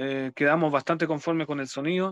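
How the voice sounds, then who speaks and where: A man speaks with fairly even intonation. The sound is dry and close with no echo, and the background is quiet. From Chile, Los Ángeles, Bío Bío region. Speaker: death metal musician and teacher. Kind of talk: radio interview. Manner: halting, many repetitions and fillers.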